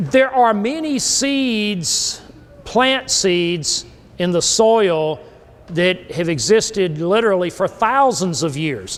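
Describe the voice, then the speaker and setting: A man with a South Carolina accent speaks very slowly, his pitch high and swinging very widely. Noticeable background noise runs behind him. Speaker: grazing and soil consultant. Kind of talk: workshop lecture.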